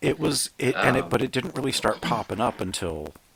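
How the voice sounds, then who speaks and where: The voice shows vocal fry and very wide pitch swings. It moves at a fairly quick pace. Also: man. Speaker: film critic and film historian. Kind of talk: podcast conversation.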